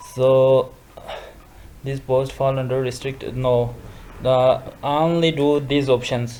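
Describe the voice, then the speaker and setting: With a non-native accent, a man of medium pitch talks at a very slow pace in monotone, flat intonation, taking long, frequent pauses over noticeable background noise. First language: not English. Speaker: social media tutorial youtuber. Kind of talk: screen-recorded tutorial. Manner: halting, many fillers and restarts.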